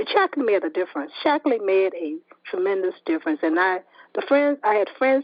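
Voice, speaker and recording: A woman at a fairly quick pace with very wide pitch swings. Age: 70s. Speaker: registered nurse, longtime product distributor. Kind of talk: phone interview testimony. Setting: phone call. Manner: repetitive, halting at times.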